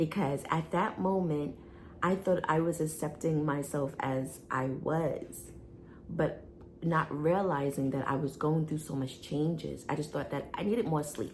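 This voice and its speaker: Speech comes at a fairly slow pace with ordinary pitch variation. There is audible echo from the room. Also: woman, very deep, low pitch for a woman. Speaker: wellness coach and vlogger. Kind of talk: personal health testimony vlog. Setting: home video, seated in chair. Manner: halting, with fillers.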